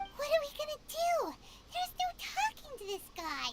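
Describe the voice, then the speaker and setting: A put-on character voice, squeaky and extremely high-pitched, swings very widely in pitch. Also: moderate pace. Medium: video game. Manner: chatty, quippy.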